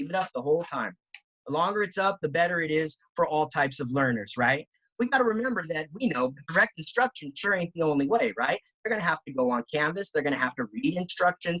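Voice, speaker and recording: The speech moves at a very fast pace against a quiet background. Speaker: educator giving a teacher training. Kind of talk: tutorial. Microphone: video call.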